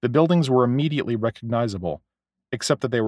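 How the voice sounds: Over a quiet background, this is a natural reading voice.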